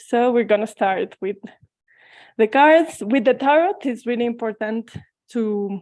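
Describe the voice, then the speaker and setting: Against a quiet background, a woman with a Mexican accent speaks in a dark, mellow tone. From Mexico. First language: Spanish. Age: 20s. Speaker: tarot reader. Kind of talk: online presentation. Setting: video call.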